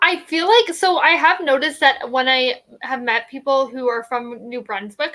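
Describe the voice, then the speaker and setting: With a Canadian accent, a woman speaks in a raised, projected voice that is high-pitched, bright and sharp in tone. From Ontario, Canada. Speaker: book reading livestream host. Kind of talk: casual chat.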